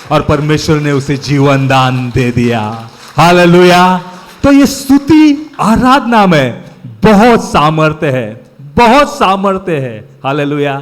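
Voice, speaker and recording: In a Marathi accent, a man speaks at a fairly high pitch with very wide pitch swings. Audible room echo and noticeable background noise are present. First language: Marathi (speaking Hindi). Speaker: preacher. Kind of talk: sermon.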